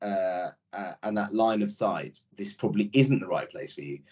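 At a moderate pace, a man with a Yorkshire accent talks at a medium pitch with vocal fry and very wide pitch swings. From Yorkshire, northern England (born in India). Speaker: private equity executive. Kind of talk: casual interview.

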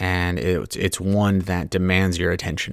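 In a very clean recording with a silent background, a man speaks at a moderate pace. His pitch is very deep and low. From Southern California and Hawaii. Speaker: podcast host. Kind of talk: solo podcast monologue. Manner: casual, many fillers.

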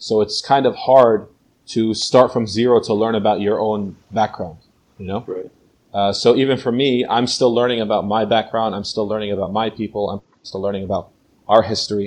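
A man of medium pitch speaks at a moderate pace in a New Jersey accent, his intonation monotone and flat. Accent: American, New Jersey. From New Jersey, USA. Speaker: teacher and translator. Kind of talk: interview. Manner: hesitant, many fillers.

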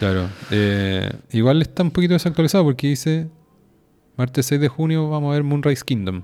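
A man with a fairly high voice and a dark, mellow tone talks at a fairly quick pace. His intonation is lively, and he takes long, frequent pauses. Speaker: podcast co-host. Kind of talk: casual chat.

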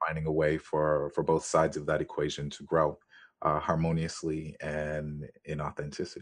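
Very deep, low-pitched man, monotone and flat, at a moderate pace against a quiet background. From US, raised in America by Jamaican family. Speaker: brand strategist and podcast host. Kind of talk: interview.

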